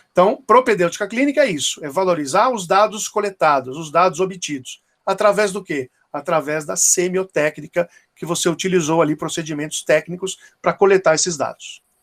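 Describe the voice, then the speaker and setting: The man's voice sits high in pitch, with ordinary pitch variation, in a dry, close sound with no echo. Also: moderate pace. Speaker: dentistry professor. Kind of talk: lecture. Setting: online class.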